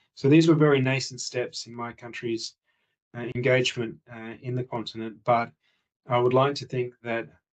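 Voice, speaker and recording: A man with an Australian accent at a medium pitch, fairly quick in pace, with fairly even intonation. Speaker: international relations executive speaking at summit. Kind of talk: conference presentation. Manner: measured with frequent hesitations (uh).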